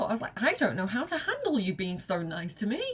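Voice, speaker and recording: A woman's fairly high, animated voice with a Mancunian accent, at a moderate pace, over noticeable background noise. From northern England, Manchester. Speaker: video game streamer. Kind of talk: gameplay commentary.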